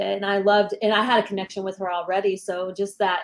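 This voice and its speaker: A woman with an American accent and medium pitch at a very fast pace, with monotone, flat intonation. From Texas. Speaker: actress and teacher. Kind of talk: interview.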